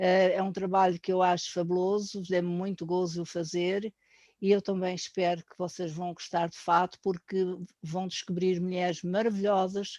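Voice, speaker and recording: Her voice is a woman's dark, mellow tone at a medium pitch, flat and monotone in intonation but with big swings in loudness. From Portugal, Azores. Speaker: painter. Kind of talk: course presentation. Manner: hesitant, with fillers.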